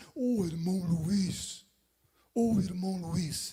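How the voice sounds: The delivery is very slow. It comes in a put-on character voice pitched in the middle range.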